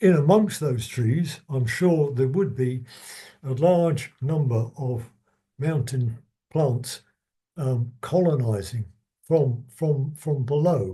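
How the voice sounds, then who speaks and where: Somewhat breathy and dark, mellow in tone, a man speaks very slowly at medium pitch with ordinary pitch variation. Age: 70s. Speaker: retired biologist giving a talk. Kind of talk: lecture. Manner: halting, many repetitions and stutters.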